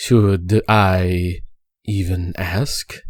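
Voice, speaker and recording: A man puts on a character voice with a very deep, low pitch. His intonation is fairly even, and the recording is very clean with a silent background. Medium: virtual streamer. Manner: clipped, formal.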